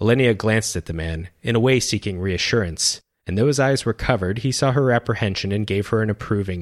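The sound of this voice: With a quiet background, someone reads in an unforced voice.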